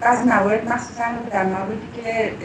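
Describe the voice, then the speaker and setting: Over noticeable background noise, the speaker talks at a fairly slow pace with monotone, flat intonation. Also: woman. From Iran. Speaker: political activist, former prisoner; campaign spokesperson. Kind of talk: interview. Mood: serious, concerned. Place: home room.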